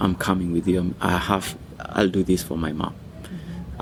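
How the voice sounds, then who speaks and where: A man speaks with a Kenyan accent at a moderate pace. His pitch is very deep and low. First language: Swahili. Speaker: music school founder. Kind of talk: personal story, interview.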